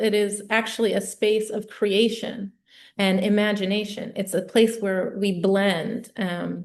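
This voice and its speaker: In an American accent, the speaker goes at a very slow pace with fairly even intonation against a quiet background. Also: woman. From US Midwest, Toledo, Ohio. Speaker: glass artist. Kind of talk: artist talk. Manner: halting, many fillers.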